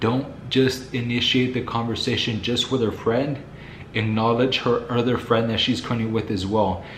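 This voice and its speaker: A man speaks calmly at a moderate pace, his medium-pitched voice monotone and flat. Audible room echo and noticeable background noise surround him. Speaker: dating advice youtuber. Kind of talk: casual vlog monologue.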